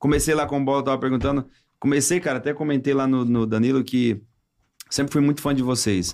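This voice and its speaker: Very fast and at medium pitch, a man talks with fairly even intonation and very even loudness. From Brazilian coast (caiçara region). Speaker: comedian and impressionist. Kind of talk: casual chat.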